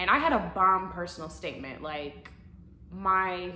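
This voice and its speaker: With an American accent, a woman talks at a fairly low pitch with ordinary pitch variation against noticeable background noise. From US Midwest, Madison, Wisconsin. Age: 20s. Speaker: law student vlogger. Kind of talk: casual Q&A vlog. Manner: casual, filler-heavy (um, like).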